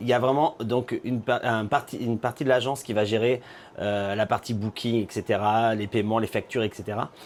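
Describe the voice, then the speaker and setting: In an unremarkable speaking voice, a man speaks at a medium pitch with fairly even intonation. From Normandy, France. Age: 40s. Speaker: drag queen. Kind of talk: casual interview chat.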